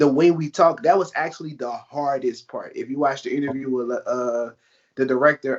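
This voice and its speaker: A man talks at a fairly quick pace with a strong New Orleans accent. His pitch is medium. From New Orleans, Louisiana. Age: 20s. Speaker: actor. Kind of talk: interview. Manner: casual.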